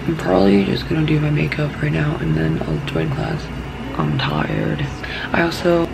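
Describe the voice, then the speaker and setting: Noticeable background noise sits behind the voice. A woman speaks at a moderate pace. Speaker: college student. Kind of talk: casual vlog talk to camera. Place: home room. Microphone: phone near.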